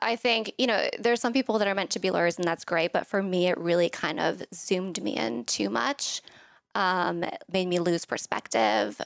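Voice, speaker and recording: A woman with vocal fry speaks at a moderate pace and medium pitch, her pitch swinging very widely. The sound is dry and close with no echo. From Thailand. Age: 30s. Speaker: wellness company founder. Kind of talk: interview.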